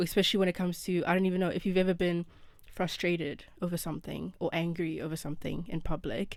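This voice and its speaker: Talking at a very fast pace, a woman speaks in a fairly low pitch. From South Africa. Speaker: student abroad, podcast guest. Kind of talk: casual chat. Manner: animated.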